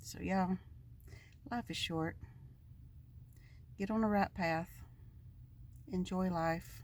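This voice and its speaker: A woman's somewhat breathy, medium-pitched voice with an American accent, ordinary pitch variation, a very slow pace and long, frequent pauses. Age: 60s. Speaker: van-dwelling vlogger. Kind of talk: casual monologue vlog.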